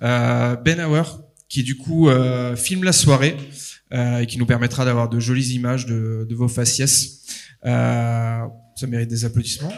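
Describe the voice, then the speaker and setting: Fairly slow in pace, the speech keeps a fairly even intonation. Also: man, medium pitch for a man. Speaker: event host. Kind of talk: event moderation. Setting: stage with audience, livestreamed. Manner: loud, carrying voice.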